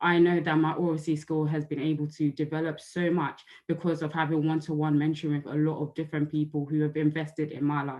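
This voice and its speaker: Words come at a very fast pace with hardly any pauses between them. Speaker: youth speaker at a report launch. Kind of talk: prepared speech. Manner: few fillers.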